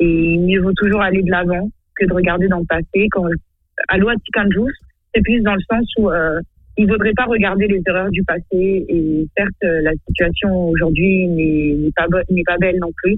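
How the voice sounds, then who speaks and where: A woman talks at a medium pitch and a fairly slow pace, keeping very even loudness and fairly even intonation, with long, frequent pauses. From Madagascar. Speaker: singer. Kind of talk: radio interview.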